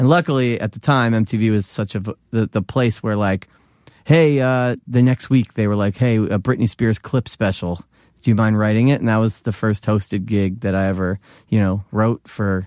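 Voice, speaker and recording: With an American accent, a man speaks at a moderate pace with a fairly low pitch and ordinary pitch variation on a very clean recording with a silent background. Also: dry, close sound with no echo. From Philadelphia, US. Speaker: comedian and former wrestling TV writer. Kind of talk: casual chat.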